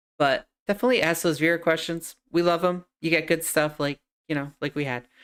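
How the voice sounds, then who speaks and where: A woman talks at a fairly quick pace and a fairly low pitch with a slight New York accent. Her pitch varies in an ordinary way on a very clean recording with a silent background. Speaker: podcast host, streamer. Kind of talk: show outro; casual chat. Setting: live stream. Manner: talkative.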